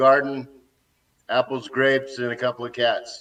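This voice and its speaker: His voice sits at a medium pitch, with an American accent. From Texas. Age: 60s. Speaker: expat activist interviewee. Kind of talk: interview.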